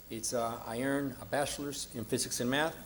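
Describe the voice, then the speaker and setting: Speech comes at a very fast pace in a Spanish accent, with audible room echo. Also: man. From grew up in Mexico and California. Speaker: political candidate. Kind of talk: debate opening statement. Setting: stage with audience in a church.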